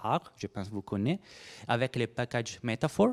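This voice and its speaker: A man with a non-native accent and a dark, mellow tone talks at a fairly quick pace in a very clean recording with a silent background and a dry, close sound with no echo. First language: Italian (speaking French). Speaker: research biologist. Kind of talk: conference presentation. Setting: workshop room with audience. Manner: halting.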